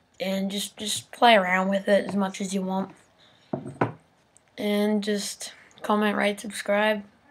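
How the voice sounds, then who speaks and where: Against noticeable background noise, a woman talks at a fairly slow pace and medium pitch in a monotone, flat intonation, with long, frequent pauses. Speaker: video tutorial maker. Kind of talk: tutorial. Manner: pitch-altered with software; casual.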